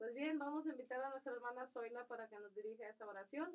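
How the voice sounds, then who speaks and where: A woman's high-pitched voice at a very fast pace. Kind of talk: religious radio talk.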